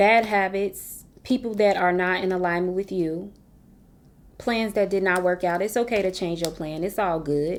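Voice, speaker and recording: With an unremarkable speaking voice, a woman talks at a medium pitch and a moderate pace with fairly even intonation. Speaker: tarot reader. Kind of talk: tarot reading. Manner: casual, conversational.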